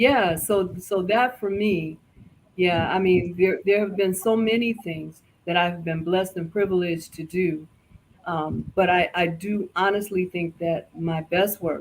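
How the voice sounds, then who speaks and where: A normal speaking voice comes at a fairly slow pace. The intonation stays fairly even. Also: woman, medium pitch for a woman. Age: 60s. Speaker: lifestyle show guest. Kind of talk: casual interview chat.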